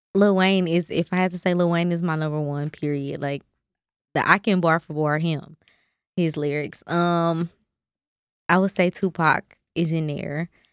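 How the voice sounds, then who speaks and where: A woman speaks at a moderate pace with fairly low pitch and fairly even intonation, leaving long, frequent pauses. The recording is very clean, with a silent background and a dry, close sound with no echo. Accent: American. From Kansas City. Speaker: rapper. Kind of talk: casual chat.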